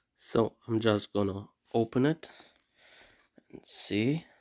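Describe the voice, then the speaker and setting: The voice carries a non-native accent and a dark, mellow tone. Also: man, dry, close sound with no echo, very clean recording, silent background. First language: not English. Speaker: unboxing YouTuber. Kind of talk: casual unboxing vlog. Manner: halting, many fillers.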